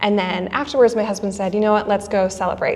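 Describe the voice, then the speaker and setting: Noticeable background noise sits behind a woman with an American accent. She speaks at a medium pitch with fairly even intonation. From US Midwest, Wisconsin. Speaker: wedding photographer. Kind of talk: podcast interview.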